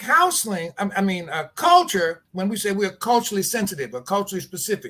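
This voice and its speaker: Raised and projected, a man's high-pitched voice moves at a fairly quick pace with lively intonation and a bright, sharp tone. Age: 70s. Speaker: addiction treatment program leader. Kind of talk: interview. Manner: halting, repeats words.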